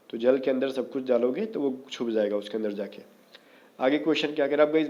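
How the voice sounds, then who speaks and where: A man's hoarse, put-on character voice at medium pitch and a very fast pace. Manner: speaking slowly and quietly.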